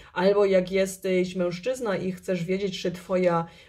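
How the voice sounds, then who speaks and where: A woman speaks against a quiet background. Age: 40s. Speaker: tarot reader and YouTube channel host. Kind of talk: tarot card reading video. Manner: halting, hesitant, with filler words. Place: home room. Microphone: phone near.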